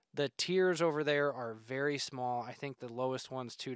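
A man with a Midwestern American accent speaks at medium pitch with fairly even intonation. The recording is very clean, with a silent background. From northern Indiana. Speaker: hunting podcast host and habitat consultant. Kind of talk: solo podcast monologue.

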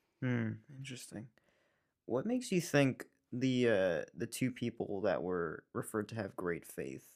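A man's ordinary speaking voice at medium pitch, lively in intonation, at a moderate pace. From New York. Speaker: Bible school friend of the host. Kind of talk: casual chat.

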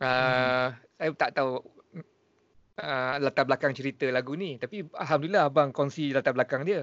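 Talking at a moderate pace in an unremarkable speaking voice, this man sits fairly high in pitch and varies it an ordinary amount. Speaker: podcast host. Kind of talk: casual chat.

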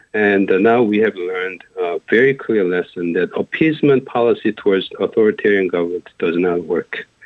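A man with a Korean accent speaks here. His pitch is fairly low, with ordinary variation. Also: moderate pace. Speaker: professor. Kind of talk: radio interview. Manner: halting.

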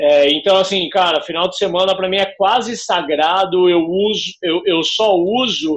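A man at a high pitch and a moderate pace. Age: 30s. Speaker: startup founder. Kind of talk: interview.

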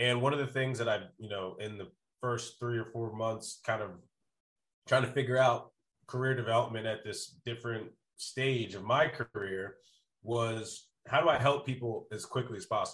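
This man has a normal speaking voice at medium pitch, moderate in pace. His intonation is fairly even, with big swings in loudness. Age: 30s. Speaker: sales consultant and startup advisor. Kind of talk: casual interview chat.

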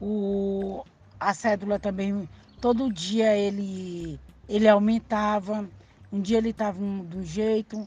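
At a fairly slow pace, a woman with a medium pitch speaks in a somewhat breathy, monotone, flat delivery. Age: 50s. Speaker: grandmother guest. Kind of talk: personal recollection monologue. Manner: halting, with repetitions and self-corrections.

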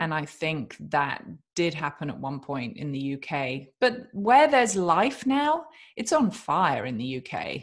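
A woman with a British accent speaks at a fairly slow pace in a very deep, low voice, her pitch swinging very widely against a quiet background. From England. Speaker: author and podcast host. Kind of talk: interview, casual chat.

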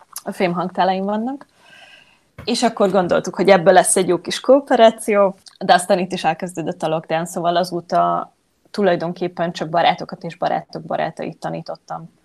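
A woman speaks at a moderate pace. Her voice has vocal fry. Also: medium pitch for a woman, ordinary pitch variation. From Hungary. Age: 20s. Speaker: yoga teacher. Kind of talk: interview. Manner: halting, many repeated words.

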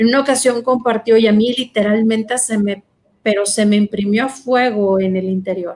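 A woman talks in an ordinary speaking voice with fairly high pitch. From Mexico, Monterrey. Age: 40s. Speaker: consecrated virgin and psychologist. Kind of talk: testimony.

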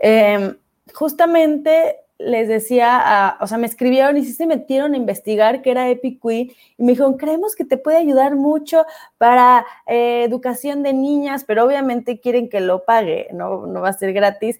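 Very clean, with a silent background, the recording captures a woman at a high pitch. She keeps a moderate pace with ordinary pitch variation. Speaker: podcast host and speaker. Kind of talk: casual chat.

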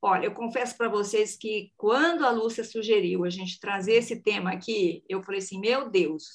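Her intonation is lively and her pitch fairly high, as a woman speaks in an unremarkable speaking voice. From Brazil, countryside. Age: 50s. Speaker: podcast host. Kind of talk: casual chat.

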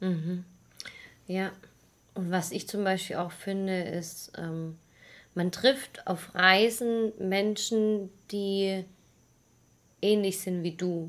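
The pace is very slow, with long pauses coming often. The recording is very clean over a silent background. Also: woman, medium pitch for a woman, fairly even intonation. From Swabia, Germany (near Stuttgart). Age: 20s. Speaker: travel podcaster. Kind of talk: casual chat.

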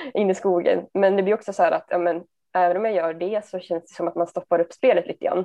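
A woman's fairly low, monotone voice with flat intonation at a fairly quick pace. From Sundsvall, Sweden. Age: 20s. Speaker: amateur disc golfer and nursing student. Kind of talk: interview.

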